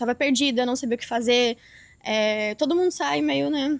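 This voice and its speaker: At a moderate pace, a woman speaks in a high pitch with ordinary pitch variation, recorded very cleanly against a silent background. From Brazil, Rio Grande do Sul. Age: 20s. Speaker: affiliate marketer, podcast guest. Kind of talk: interview testimony.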